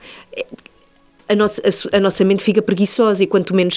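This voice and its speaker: A woman's voice with a fairly high pitch. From born in Madrid, Spain; moved to Lisbon at 14. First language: Spanish (speaking Portuguese). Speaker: radio host. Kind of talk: interview, casual chat.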